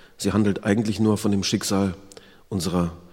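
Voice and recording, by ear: Fairly even in intonation, this clip has someone reading aloud in a natural voice.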